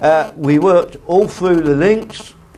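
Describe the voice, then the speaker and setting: A man at a very slow pace, ordinary pitch variation, and noticeable background noise. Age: 80s+. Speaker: retired train driver. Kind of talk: personal reminiscence talk.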